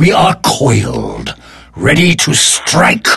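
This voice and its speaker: A man growls in a put-on character voice. He speaks at a very slow pace. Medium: machinima. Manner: terse, menacing.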